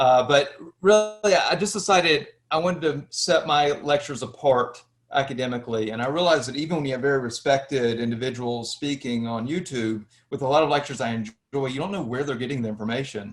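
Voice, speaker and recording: This man talks at a very fast pace in a Southern US accent. His pitch is fairly high, with ordinary variation. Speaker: history lecturer, YouTuber. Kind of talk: interview.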